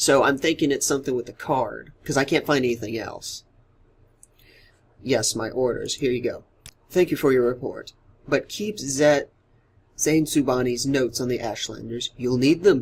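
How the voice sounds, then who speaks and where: A man talks at a moderate pace, somewhat breathy. His speech has long, frequent pauses. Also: medium pitch for a man, ordinary pitch variation. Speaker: let's play gamer. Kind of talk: casual gameplay commentary.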